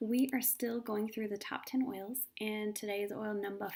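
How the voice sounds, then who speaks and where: A soft-spoken woman with a fairly high pitch. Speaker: essential oils presenter. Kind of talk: live video talk.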